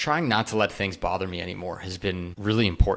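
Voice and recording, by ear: A man's bright, sharp voice at a moderate pace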